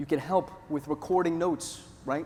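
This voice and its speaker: Speaking at a moderate pace, a man has a New York accent. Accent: New York-like. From US Northeast, Northeast Pennsylvania. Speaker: conference presenter. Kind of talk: conference presentation. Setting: stage with audience. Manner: animated storytelling.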